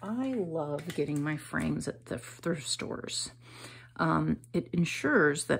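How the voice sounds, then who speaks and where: A woman with a very deep, low pitch and a somewhat breathy voice speaks with lively intonation. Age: 50s. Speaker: artist. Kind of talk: art tutorial. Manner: casual, hesitant with many ums.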